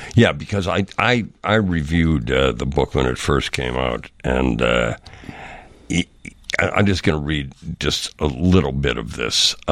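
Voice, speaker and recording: Very slowly and with vocal fry, a man with an American accent speaks in a very deep, low pitch with lively intonation. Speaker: radio host. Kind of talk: casual interview. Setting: studio.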